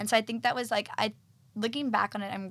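On a very clean recording with a silent background, a woman talks at a very fast pace in a bright, sharp tone. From Texas. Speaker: fashion design assistant. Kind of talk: casual interview.

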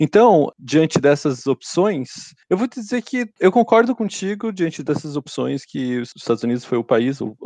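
A man's dark, mellow tone with lively intonation, at a moderate pace. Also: dry, close sound with no echo. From Brazil. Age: 30s. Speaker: engineer. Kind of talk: casual interview. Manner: halting, repeats words.

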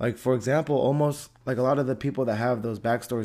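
A voice with an American accent and a dark, mellow tone shows ordinary pitch variation on a very clean recording with a silent background. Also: man. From US, Antioch. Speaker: podcast host. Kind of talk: casual solo podcast monologue.

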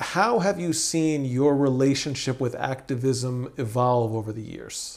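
A man with an ordinary speaking voice, medium in pitch, with ordinary pitch variation and a fairly slow pace. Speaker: podcast host. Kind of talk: interview conversation. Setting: in-person recording in Jerusalem.

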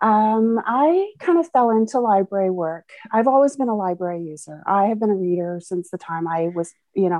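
In a Canadian accent, a woman talks at a moderate pace and medium pitch with lively intonation, using a plain, everyday voice. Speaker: librarian. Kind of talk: casual chat.

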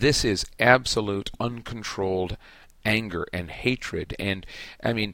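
The speaker reads aloud plainly with ordinary pitch variation.

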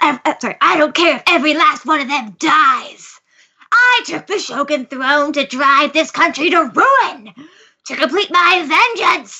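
The speaker uses a put-on character voice, high in pitch and fairly slow. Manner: menacing, monologuing.

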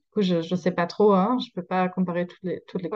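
A slight German accent with ordinary pitch variation. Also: woman. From Germany. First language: German (speaking French). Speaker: social media creator. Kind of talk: interview. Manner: halting.

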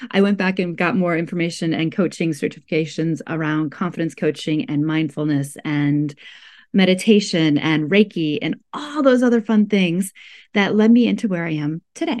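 A woman with an American accent speaks in a fairly low pitch at a moderate pace, with lively intonation. It is an unremarkable speaking voice over a quiet background. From US Midwest, rural Iowa. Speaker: life coach and healer. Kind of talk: casual interview chat.

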